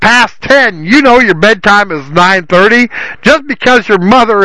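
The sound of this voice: The speaker reads in an unforced voice with ordinary pitch variation.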